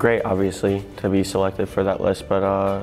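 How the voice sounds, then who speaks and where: A man at a fairly quick pace with a fairly low pitch, faint music in the background. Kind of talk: interview answer. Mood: humble, grateful. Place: home room. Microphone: lapel.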